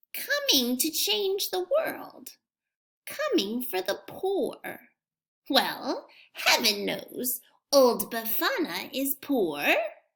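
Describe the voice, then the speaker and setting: A woman's put-on character voice, high-pitched and gruff, at a very slow pace with very wide pitch swings. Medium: read story. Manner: gruff, muttering.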